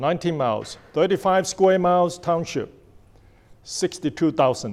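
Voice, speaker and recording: Using ordinary pitch variation, a man with a non-native accent and high pitch talks at a moderate pace. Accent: noticeable foreign. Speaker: township trustee, speaker. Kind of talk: public talk.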